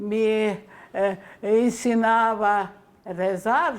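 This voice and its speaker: A woman with a fairly high pitch talks while music plays behind her. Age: 80s+. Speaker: famine survivor. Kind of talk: interview answer.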